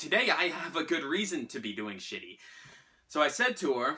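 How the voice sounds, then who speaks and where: At a moderate pace, a man talks in an American accent. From US Northeast, Salem, Massachusetts. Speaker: actor. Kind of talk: storytelling performance. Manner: animated.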